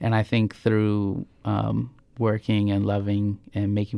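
Dark, mellow tone in a very clean recording with a silent background. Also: man. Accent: American. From US Midwest, Norfolk, Nebraska. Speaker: multimedia artist. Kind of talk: interview. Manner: halting, many fillers.

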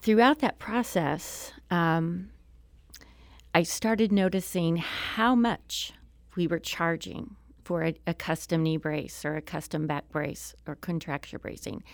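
A woman in an American accent at a very slow pace, fairly low in pitch with ordinary pitch variation, on a very clean recording with a silent background. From southwest Missouri (Springfield). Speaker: state legislator. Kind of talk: interview. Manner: hesitant, many fillers.

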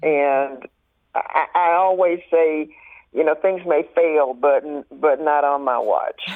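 A woman's very deep, low voice with a Southern US accent, very slow pacing, fairly even intonation and very even loudness. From US South, rural Mississippi. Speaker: arts nonprofit board president. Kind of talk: radio interview. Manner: halting, many fillers.

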